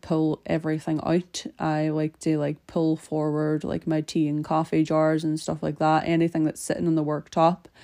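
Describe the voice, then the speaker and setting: A woman speaks with very deep, low pitch and a dark, mellow tone in a monotone, flat intonation, with hardly any pauses. The sound is dry and close with no echo, and the background is quiet. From Derry, Northern Ireland. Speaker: podcast host. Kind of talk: casual chat while cleaning. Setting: home, solo recording.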